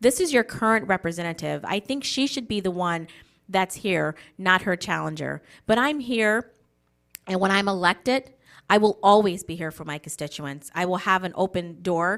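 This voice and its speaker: A woman with an ordinary speaking voice and an American accent talks at a moderate pace in a medium pitch with lively intonation, on a very clean recording with a silent background. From Wisconsin, US Midwest. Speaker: political candidate. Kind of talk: campaign speech. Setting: candidate forum broadcast on local TV.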